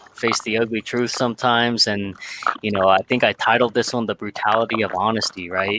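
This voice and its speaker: The speech moves at a fairly quick pace in a monotone, flat intonation. Noticeable background noise runs underneath. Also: man. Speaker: podcast host. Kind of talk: casual discussion. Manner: dry, unemotional.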